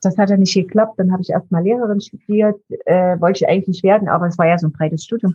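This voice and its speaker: A woman talks at a very fast pace with a medium pitch. Her voice is somewhat breathy, and her intonation stays fairly even. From eastern Germany, Dresden. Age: 60s. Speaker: founder of a mental health charity. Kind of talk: interview.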